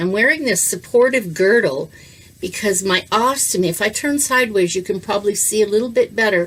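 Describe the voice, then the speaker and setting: Here a woman speaks quickly with lively intonation and a fairly high pitch. Hers is an unremarkable speaking voice. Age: 60s. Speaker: educator, kidney transplant patient. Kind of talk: casual talk to camera, health tutorial. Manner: friendly, conversational, humorous.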